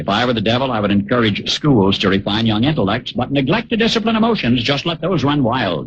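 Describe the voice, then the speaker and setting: This man's voice is somewhat breathy, with lively intonation. He talks at a moderate pace. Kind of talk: radio commentary monologue.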